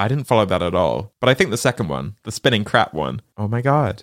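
In a British accent with vocal fry, the speaker goes at a very fast pace, the sound dry and close with no echo. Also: man. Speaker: podcast host. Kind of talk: casual chat.

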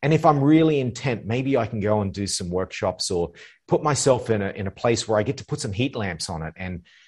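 Against a quiet background, a man talks at a fairly quick pace with lively intonation. His voice is fairly low in pitch and somewhat breathy. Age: 40s. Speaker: life coach. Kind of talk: casual chat.

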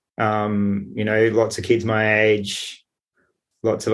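Against a quiet background, a man talks in a fairly low pitch. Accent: Australian. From Sydney, Australia. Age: 40s. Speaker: architect and peer support worker, abuse survivor. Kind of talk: interview testimony. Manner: halting.

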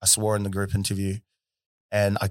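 A man with a New Zealand accent talks very fast in a fairly low, monotone, flat voice. The recording is very clean, with a silent background. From New Zealand, South Auckland. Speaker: boxer and content creator. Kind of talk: casual interview chat.

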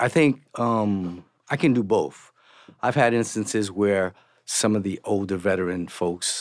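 Recorded very cleanly against a silent background, a man talks at a fairly slow pace. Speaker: union executive assistant. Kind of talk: panel discussion.

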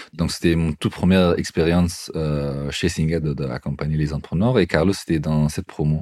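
Noticeable background noise accompanies a man with a very deep, low pitch. He talks at a fairly quick pace with fairly even intonation. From Afghanistan. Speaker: incubator coordinator. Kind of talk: interview.

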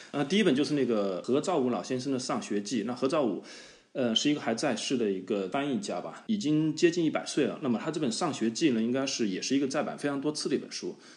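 Speaking at a very fast pace, a man uses lively intonation at a medium pitch. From China (Hubei). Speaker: podcast co-host, app founder. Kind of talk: casual chat. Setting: remote call. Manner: halting, many fillers.

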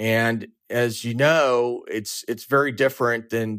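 With an American accent, a man speaks at a medium pitch with fairly even intonation. He has a normal speaking voice, and the recording is very clean with a silent background. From Southern California, Orange County. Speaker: lending company founder and CEO. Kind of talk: interview.

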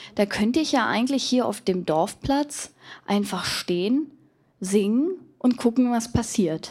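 The delivery has lively intonation at a fairly slow pace, on a very clean recording with a silent background. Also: woman, fairly high pitch for a woman. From Germany, Berlin-Kreuzberg and Wendland. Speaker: pop musician. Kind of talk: live podcast interview. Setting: live stage with audience.

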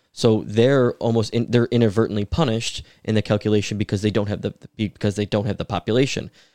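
A man with an American accent talks at a very fast pace, with hardly any pauses and a fairly even intonation. His pitch is fairly low, and the sound is dry and close with no echo over a quiet background. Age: 20s. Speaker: city council member. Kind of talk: casual podcast interview.

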